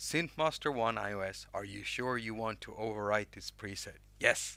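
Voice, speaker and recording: With a Swedish accent, a man talks at a moderate pace in a fairly low pitch with a bright, sharp tone, ordinary pitch variation and big swings in loudness, on a very clean recording with a silent background. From Sweden. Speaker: music app YouTuber. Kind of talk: live stream tutorial chat. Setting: live stream with chat. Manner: casual, halting with restarts.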